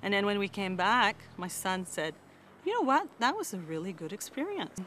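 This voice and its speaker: Over noticeable background noise, a woman speaks at a moderate pace with a medium pitch and lively intonation. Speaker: interviewee. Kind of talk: testimony.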